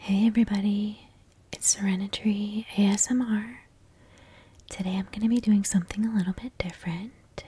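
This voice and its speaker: Soft-spoken, this speaker moves along at a medium tempo. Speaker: ASMR creator. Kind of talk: tutorial.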